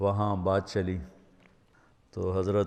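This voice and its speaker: A man speaks in a very deep, low pitch. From Pakistan. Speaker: Islamic scholar and preacher. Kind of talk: religious sermon (bayan).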